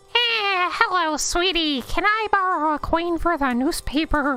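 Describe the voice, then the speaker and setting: A female-sounding voice puts on a character at an extremely high pitch. It moves at a moderate pace with faint music in the background. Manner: sweet, wheedling.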